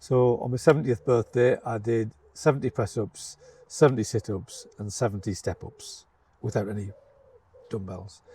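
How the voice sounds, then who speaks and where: At a moderate pace, a man with a medium-pitched, dark, mellow, somewhat breathy voice uses ordinary pitch variation while his loudness swings a lot. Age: 70s. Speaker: retired headteacher. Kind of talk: casual interview. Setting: outdoors in a garden. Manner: halting, many fillers and repeats.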